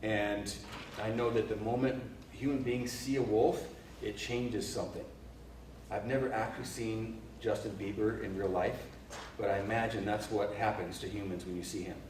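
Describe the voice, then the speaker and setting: Noticeable background noise and audible room echo accompany a man speaking at a moderate pace with a fairly low pitch, fairly even intonation, and long, frequent pauses. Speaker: leadership speaker and cultural anthropologist. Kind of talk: workshop talk. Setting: live audience, no microphone. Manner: loud, projecting without a mic; hesitant with repeated words. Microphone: no microphone used.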